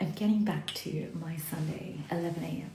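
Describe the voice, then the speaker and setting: Over noticeable background noise and audible room echo, a woman speaks at a fairly slow pace in a fairly low pitch. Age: middle-aged. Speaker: self-development vlogger. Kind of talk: casual reflective monologue. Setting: live stream on social media. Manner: deliberately slow.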